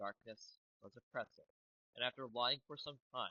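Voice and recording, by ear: Against a quiet background, someone reads aloud in a natural voice with ordinary pitch variation.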